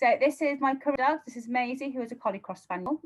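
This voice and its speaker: A woman speaks with a British accent. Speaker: dog trainer. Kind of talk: live-stream webinar talk. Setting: live video stream. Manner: animated.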